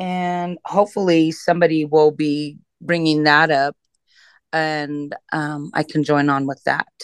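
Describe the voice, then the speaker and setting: Against a quiet background, a woman with a very deep, low pitch speaks in a monotone with flat intonation. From Cheyenne, Wyoming. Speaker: state legislator. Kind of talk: interview. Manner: halting.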